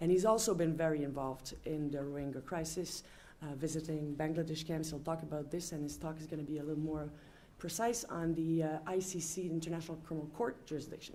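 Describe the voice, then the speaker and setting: A woman's very deep, low voice in a French accent, with a dark, mellow tone, a very fast pace and audible room echo. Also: fairly even intonation. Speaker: panel chair, law professor. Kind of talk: panel introduction. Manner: halting, many fillers.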